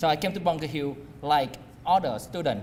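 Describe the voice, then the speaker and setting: At a moderate pace, a man speaks with a Vietnamese accent. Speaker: community college alumnus speaker. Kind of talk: personal testimony speech. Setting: alumni dinner event with audience. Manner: halting, many fillers.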